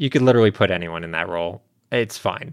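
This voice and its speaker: With an unremarkable speaking voice and lively intonation, a man speaks at a fairly quick pace in a very clean, dry, close recording with no echo and a silent background. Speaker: podcast co-host. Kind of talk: casual banter, podcast chat. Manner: jokey, interrupts often.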